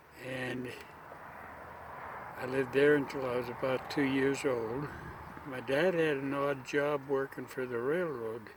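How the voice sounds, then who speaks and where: A man speaks at a medium pitch and a fairly slow pace, with fairly even intonation. There are long, frequent pauses and noticeable background noise. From Idaho, raised in Utah and Montana. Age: 80s+. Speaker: war veteran. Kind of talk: interview answer.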